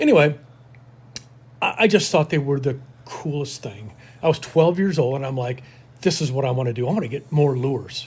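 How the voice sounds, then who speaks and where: A man's somewhat breathy, fairly high voice at a fairly quick pace, with ordinary pitch variation and long, frequent pauses. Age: 60s. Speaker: lure collector and outdoorsman. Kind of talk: casual chat.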